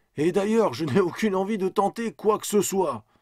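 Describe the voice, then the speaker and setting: A man speaks at a moderate pace in a put-on character voice pitched high. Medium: read story. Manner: terse, urgent.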